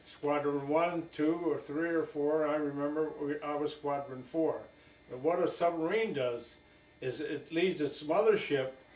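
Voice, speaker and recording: With noticeable background noise behind him, a man with a fairly high voice speaks at a fairly slow pace. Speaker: war veteran. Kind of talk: interview. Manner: halting.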